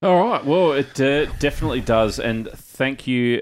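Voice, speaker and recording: A man with an Australian accent and very wide pitch swings, on a very clean recording with a silent background. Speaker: podcast host. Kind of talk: casual chat.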